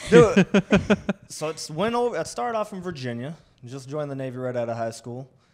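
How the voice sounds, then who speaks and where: A man with an American accent talks at a fairly quick pace in a fairly high pitch, with very wide pitch swings and big swings in loudness. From Minnesota, rural small town. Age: 30s. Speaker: comedian. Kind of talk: casual chat.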